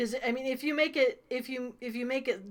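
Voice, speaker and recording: This woman talks at a fairly quick pace with an Ohio accent. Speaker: game master. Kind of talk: tabletop game session.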